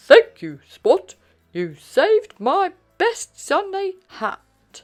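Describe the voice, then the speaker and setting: Music plays in the background as a put-on character voice speaks at a very slow pace. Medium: read story.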